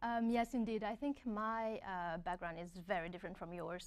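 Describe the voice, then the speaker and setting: A woman speaks with a strong French accent at medium pitch. She keeps a moderate pace and ordinary pitch variation. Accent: thick French. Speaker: graduate student. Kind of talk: webinar panel talk.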